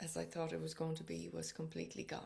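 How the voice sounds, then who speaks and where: The voice belongs to a woman. She speaks in an Irish accent. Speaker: psychotherapist and author. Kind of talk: personal book introduction to camera.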